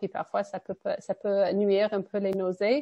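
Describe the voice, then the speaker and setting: A woman speaks at a medium pitch. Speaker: nutritionist. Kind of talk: presentation.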